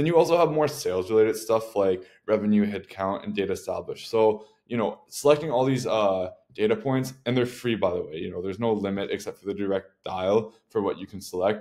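A man talks at a fairly quick pace in a dark, mellow tone. The background is quiet. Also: ordinary pitch variation. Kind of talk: tutorial. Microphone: webcam.

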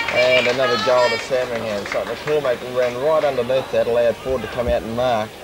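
With an Australian accent, a man talks in a relaxed tone at a fairly quick pace. The sound is dry with no echo, though there is loud background noise. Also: fairly even intonation, hardly any pauses. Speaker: football commentator. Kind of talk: live Australian rules football commentary, describing play-by-play at the ground. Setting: at the ground. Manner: casual, conversational and relaxed, with a local-radio feel. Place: stadium. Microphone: old recording.

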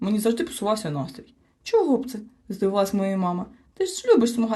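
Lively intonation in an unforced reading voice.

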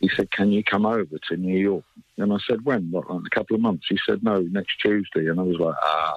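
A man with an ordinary speaking voice at a fairly low pitch and fairly quick pace, with fairly even intonation and very even loudness, in a dry sound with no echo over a quiet background. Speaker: guest. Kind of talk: interview answer. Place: studio.

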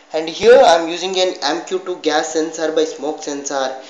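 Speech comes at a fairly slow pace with audible room echo. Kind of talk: project demonstration. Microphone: phone near.

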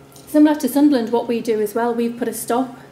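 A woman's fairly even intonation comes through audible room echo and light background noise. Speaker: council presenter. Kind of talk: conference presentation. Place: hall. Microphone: camera far.

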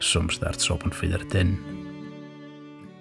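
In a Shetland accent, a man speaks at a very deep, low pitch over music in the background. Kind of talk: poetry reading.

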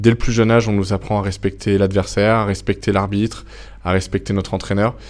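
At a fairly quick pace, a man speaks in a fairly low pitch with monotone, flat intonation. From France. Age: 20s. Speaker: Olympic fencer; interviewee. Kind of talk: interview. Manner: hesitant, many fillers. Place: meeting room. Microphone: lapel.

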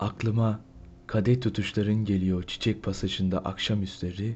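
Somewhat breathy, a man speaks at a fairly slow pace with a fairly low pitch and ordinary pitch variation. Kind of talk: poetry reading.

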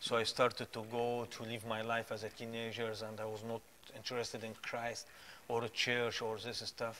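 Over light background noise, a man with an Arabic accent speaks at a medium pitch and a moderate pace. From Egypt. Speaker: guest sharing faith testimony. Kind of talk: preaching; testimony. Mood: earnest, pleading appeal. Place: studio. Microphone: lapel.

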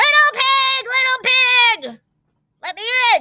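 A put-on character voice growls at an extremely high pitch. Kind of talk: menacing, hungry. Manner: growling.

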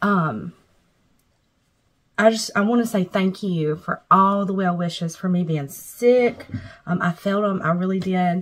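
A somewhat breathy woman at a fairly slow pace against a quiet background. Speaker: weight loss vlogger. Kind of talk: casual vlog. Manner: hesitant, filler-heavy. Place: home room. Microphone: phone near.

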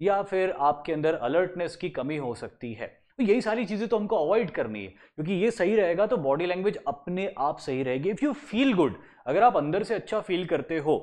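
Over a quiet background, a man with a high voice talks with lively intonation and hardly any pauses. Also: moderate pace. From India. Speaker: SSB interview coach. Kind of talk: lecture.

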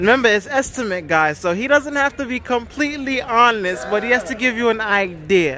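The speech moves at a fairly quick pace with hardly any pauses, in a dry sound with no echo and light background noise. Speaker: channel host interviewer. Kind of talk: interviewer questions. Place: street. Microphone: phone near.

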